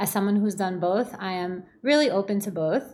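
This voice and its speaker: Recorded very cleanly with a silent background, a woman with an ordinary speaking voice talks at a moderate pace and medium pitch. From US, New Jersey (born in Belarus). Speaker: life coach and DJ. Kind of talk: solo podcast monologue.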